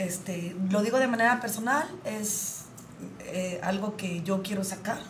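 A woman speaks at a fairly slow pace in a medium pitch, her tone animated. Audible room echo and noticeable background noise surround her voice. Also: ordinary pitch variation. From Jalisco, Mexico. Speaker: radio host. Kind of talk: casual chat.

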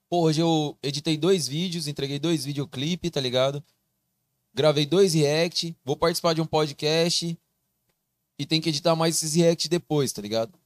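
Speaking in a normal speaking voice, a man with a fairly high pitch keeps a moderate pace and fairly even intonation, and the sound is dry and close with no echo. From Mato Grosso, Brazil (Barra do Garças). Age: 20s. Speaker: video creator and TV voice of a football club. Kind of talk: casual podcast chat.

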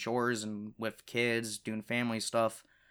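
In a very clean recording with a silent background, a man speaks at a fairly slow pace with a medium pitch and a bright, sharp tone. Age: young. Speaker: podcaster and gaming youtuber. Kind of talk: casual chat. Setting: home recording in his room. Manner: hesitant, lots of fillers.

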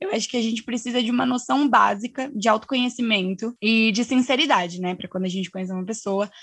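Her pitch high and its variation ordinary, a woman speaks in a very clean recording with a silent background. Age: 20s. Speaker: student. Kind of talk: casual chat.

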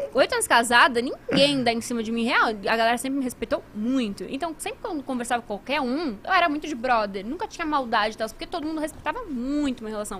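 Over noticeable background noise, a woman with a high pitch talks at a very fast pace with lively intonation and hardly any pauses. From Brazil, moved from Italy at age one. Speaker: gaming marketing professional and show host. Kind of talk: casual chat. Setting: live stream studio.

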